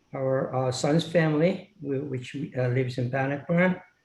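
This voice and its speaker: A man's dark, mellow, somewhat breathy voice at a medium pitch and a fairly slow pace. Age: 70s. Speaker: applicant, local resident. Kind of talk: public hearing statement. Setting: video call. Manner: halting, many fillers.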